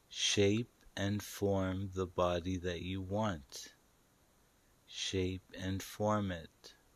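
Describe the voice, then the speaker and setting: Very slow, calm, soothing speech from a man with a very deep, low pitch and fairly even intonation, against a quiet background. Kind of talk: guided meditation / hypnosis-style script, spoken directly to listener. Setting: online video/audio recording for home listening. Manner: slow, calm, soothing, repetitive with pauses; gently commanding, coaxing, direct address.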